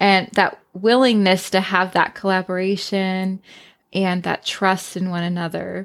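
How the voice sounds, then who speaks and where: Her pitch medium and her intonation flat and monotone, a woman speaks at a fairly slow pace. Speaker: podcast host. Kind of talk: podcast intro and interview.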